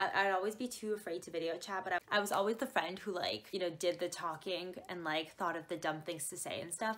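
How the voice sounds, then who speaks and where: A woman's animated voice at a fairly quick pace, with ordinary pitch variation. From Canada. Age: 20s. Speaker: YouTuber. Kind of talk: casual chat. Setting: video call. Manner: animated, giggly. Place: home room. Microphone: webcam.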